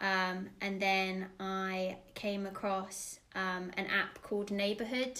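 A woman's voice, bright and sharp in tone, holds a monotone, flat intonation amid audible room echo. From England, raised in Dubai and Florida. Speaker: play leader, former nursery teacher. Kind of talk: casual interview.

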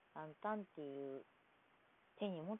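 Her intonation is lively. This woman speaks with a slight Kansai accent. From Kansai, Japan. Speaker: podcaster. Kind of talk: casual solo monologue. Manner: polite, formal.

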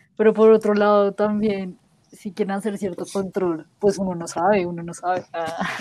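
A woman speaks at a moderate pace in a medium pitch. Her intonation is monotone and flat, while her loudness swings a lot. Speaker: podcast co-host guesting on another show. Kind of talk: casual chat.

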